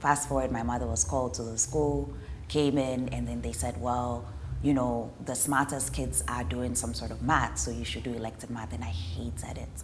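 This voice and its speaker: At a moderate pace, the voice makes very wide pitch swings amid audible room echo. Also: woman, very deep, low pitch for a woman. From Ghana. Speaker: development specialist. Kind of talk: interview. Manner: conversational, with fillers.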